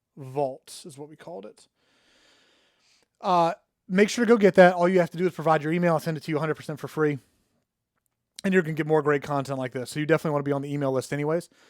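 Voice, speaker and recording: A man's fairly high voice at a very fast pace, broken by long, frequent pauses, with big swings in loudness, dry, close sound with no echo, and a very clean recording with a silent background. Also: ordinary pitch variation. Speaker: online marketer. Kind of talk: casual solo talk to camera.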